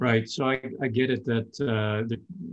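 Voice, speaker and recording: With an unremarkable speaking voice, a man holds a medium pitch and fairly even intonation. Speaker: virtual networking show host. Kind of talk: moderated interactive webinar. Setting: video call.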